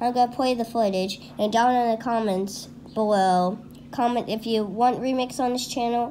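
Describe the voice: What we hear is plain reading aloud.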